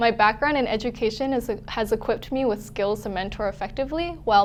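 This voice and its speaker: Noticeable background noise accompanies a woman with a Canadian accent. She talks very fast at a fairly high pitch with ordinary pitch variation. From western Canada, Vancouver. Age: 20s. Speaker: network marketing distributor. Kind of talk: testimony.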